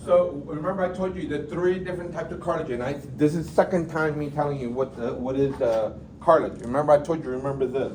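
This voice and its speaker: Speech at a very fast rate, amid noticeable background noise and audible room echo. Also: man, fairly high pitch for a man, ordinary pitch variation. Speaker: anatomy instructor. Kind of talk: classroom lecture.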